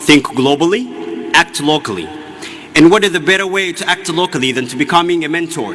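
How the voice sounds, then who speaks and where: A man speaks with an Ethiopian accent. Background noise is noticeable. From Ethiopia, Oromia. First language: Oromo. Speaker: graduating student speaker. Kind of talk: commencement speech. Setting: stage with audience.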